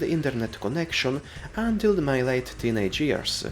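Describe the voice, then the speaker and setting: A man with a non-native accent speaks at a moderate pace, his pitch swinging very widely. Noticeable background noise runs underneath. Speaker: video game reviewer. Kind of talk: scripted narration.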